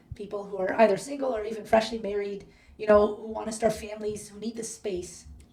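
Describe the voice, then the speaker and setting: A woman with a Canadian accent talks at a very fast pace in a fairly high, monotone voice, her loudness swinging widely. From Canada, Toronto. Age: 30s. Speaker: podcast guest. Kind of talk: casual chat.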